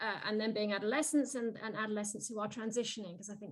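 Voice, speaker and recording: A woman talks at a very fast pace and fairly high pitch with fairly even intonation. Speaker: keynote speaker, youth mentoring program director. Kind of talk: webinar Q&A answer. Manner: hesitant, many restarts.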